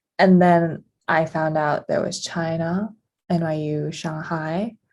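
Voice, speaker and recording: A woman with an American accent speaks at a very slow pace. Her fairly low pitch stays in a monotone, flat intonation. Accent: American-style international English. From Abu Dhabi, UAE (American school). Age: 20s. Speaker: podcast co-host. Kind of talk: casual chat.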